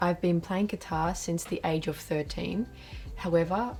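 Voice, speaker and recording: With an Australian accent, a woman speaks at a moderate pace and a fairly low pitch, her dark, mellow tone carrying vocal fry and ordinary pitch variation. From Australia, Melbourne. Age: 20s. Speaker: guitarist. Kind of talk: interview.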